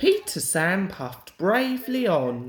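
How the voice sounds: A man speaks slowly at a high pitch, with big pitch swings. Audible room echo surrounds his voice.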